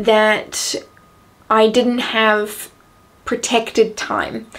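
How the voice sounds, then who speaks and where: A woman speaks very slowly in a New Zealand accent. Her pitch sits fairly high. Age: young. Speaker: entrepreneur. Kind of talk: casual talk to camera.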